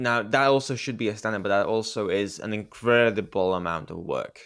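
A man in a Romanian accent speaks at a moderate pace with lively intonation. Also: very clean recording, silent background. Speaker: gaming podcast co-host. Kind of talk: casual chat.

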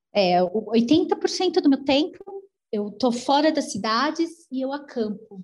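Speaking very slowly, a woman uses a high pitch with very wide swings. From Brazil, São Paulo. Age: 40s. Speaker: long-distance solo cyclist traveler. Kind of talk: interview conversation.

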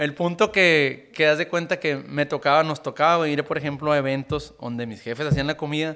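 A man with a northern Mexican accent speaks at a moderate pace, his fairly high voice carrying a bright, sharp tone. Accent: northern Mexican (Sonora). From Sonora, Mexico (Caborca). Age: 20s. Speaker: musician. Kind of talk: casual chat.

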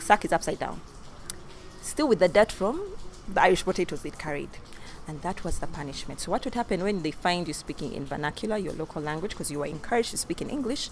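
A woman with a fairly low voice talks very fast with lively intonation while music plays behind her. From Uganda. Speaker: podcast co-host. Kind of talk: casual chat. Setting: recorded standing, outside studio. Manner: animated.

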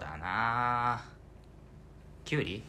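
There is audible room echo around a man speaking in a bright, sharp tone. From Fukuoka, Japan. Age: 20s. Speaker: theatre troupe member, aspiring voice actor. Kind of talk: casual chat.

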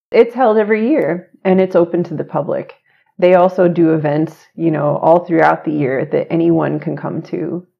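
A woman's unremarkable speaking voice with an American accent, fairly low in pitch, at a moderate pace with ordinary pitch variation. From Oklahoma, US. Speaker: university diversity administrator and psychologist. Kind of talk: interview conversation.

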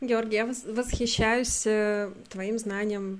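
A woman speaks in a monotone, flat intonation at a fairly slow pace. Her pitch sits fairly high. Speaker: podcast host. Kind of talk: interview.

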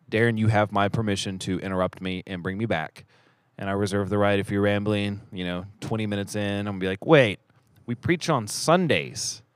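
This man's pitch is fairly low and varies in an ordinary way, and he talks fairly quickly. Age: 30s. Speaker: church elder and podcast host. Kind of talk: casual chat. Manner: fast talker; mumbles, trailing off sentences.

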